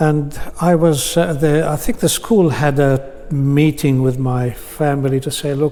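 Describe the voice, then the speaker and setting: Against noticeable background noise, a man with a fairly high pitch talks at a fairly slow pace with fairly even intonation. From Palestine (Bethlehem) until 9, then Australia. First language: Arabic. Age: 70s. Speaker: interviewee sharing life story. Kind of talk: personal testimony in interview. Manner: hesitant, with many fillers.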